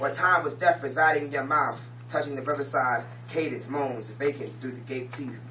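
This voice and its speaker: Against noticeable background noise, a man of medium pitch speaks at a fairly quick pace with fairly even intonation. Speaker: slam poet. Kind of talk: poetry slam performance. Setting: live audience event.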